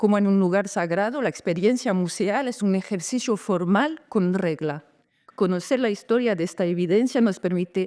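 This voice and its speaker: The tone is dark and mellow, at a moderate pace. The background is quiet. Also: woman. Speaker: lecturer. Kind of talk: conference lecture. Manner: halting, self-correcting.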